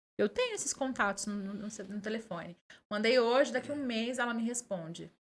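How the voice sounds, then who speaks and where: A woman with a normal speaking voice and fairly high pitch speaks at a moderate pace with ordinary pitch variation. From Minas Gerais, Brazil (Conceição das Alagoas). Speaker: journalist and communicator. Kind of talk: podcast interview.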